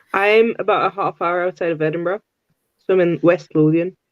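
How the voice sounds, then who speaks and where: The speaker talks at a fairly quick pace with a slight Scottish accent. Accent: slight Scottish twang. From Malta; lives near Edinburgh, West Lothian, for eight years.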